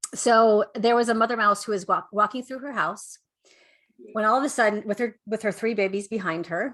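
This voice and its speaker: A fairly quick, fairly high-pitched female voice with a bright, sharp tone over a quiet background. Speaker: life coach and speaker. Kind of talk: interview with a workshop and a told story. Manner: halting, many fillers.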